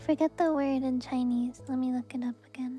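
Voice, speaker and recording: A soft-spoken woman with a high pitch, music playing in the background. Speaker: vtuber and ASMR creator. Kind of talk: casual live-stream talk.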